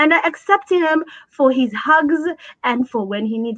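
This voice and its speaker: This woman's voice is high in pitch, with lively intonation. She speaks at a moderate pace. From born in Abu Dhabi, Somali family. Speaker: special education advocate and parent. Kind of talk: interview conversation.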